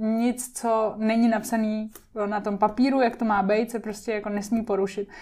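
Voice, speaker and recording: In a very clean recording with a silent background, a woman talks at a moderate pace with a fairly high pitch. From Czech Republic, Liberec, with Japanese family ties. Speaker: TV presenter and influencer. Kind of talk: casual interview chat.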